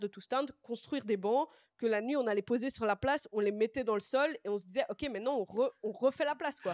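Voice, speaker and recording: A woman speaks at a fairly quick pace in a fairly high voice, with ordinary pitch variation. It is a normal speaking voice, with a dry, close sound and no echo. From Brussels, Belgium. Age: 20s. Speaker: social worker, youth project coordinator. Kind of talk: casual chat. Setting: livestream with chat.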